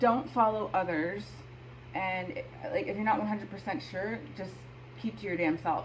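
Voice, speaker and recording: The woman's intonation is lively. Noticeable background noise runs beneath her voice. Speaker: astrology video host. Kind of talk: casual talk to camera.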